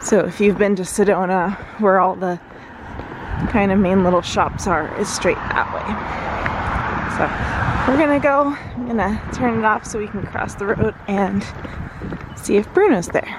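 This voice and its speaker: Ordinary pitch variation and long, frequent pauses come through over noticeable background noise. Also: woman. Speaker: travel vlogger. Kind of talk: casual vlog narration.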